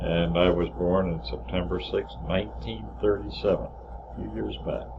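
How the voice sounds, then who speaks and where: Very deep and low in pitch, a man with an American accent swings his pitch very widely, and audible room echo surrounds his voice. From northern New Jersey. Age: 70s. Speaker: family memoir narrator. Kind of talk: reminiscing over photos. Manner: halting.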